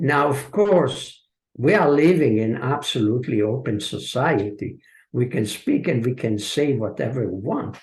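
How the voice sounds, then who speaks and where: Against a quiet background, a man speaks at a fairly slow pace. His medium-pitched voice is somewhat breathy. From Hungary and Israel. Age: 70s. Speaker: author and translator. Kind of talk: audience Q&A. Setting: video call. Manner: hesitant, many filler sounds.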